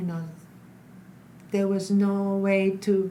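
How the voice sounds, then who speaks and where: Somewhat breathy and at a medium pitch, a woman speaks at a very slow pace amid audible room echo. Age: 60s. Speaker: stage actor and flamenco dancer. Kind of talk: interview conversation. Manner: halting, many fillers.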